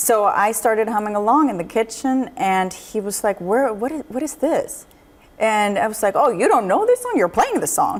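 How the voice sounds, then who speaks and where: Spoken with a Swedish accent at a moderate pace, the voice has lively intonation over noticeable background noise. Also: woman, fairly high pitch for a woman. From Sweden. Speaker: jazz singer. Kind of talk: interview. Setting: studio.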